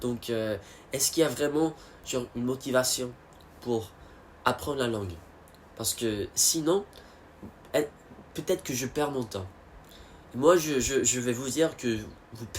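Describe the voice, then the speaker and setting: Speaking at a fairly slow pace with long, frequent pauses, a man with an English accent uses a medium pitch with ordinary variation, and his loudness swings a lot. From United States. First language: English (speaking French). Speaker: vlogger. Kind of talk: casual monologue. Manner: halting, many fillers and repetitions.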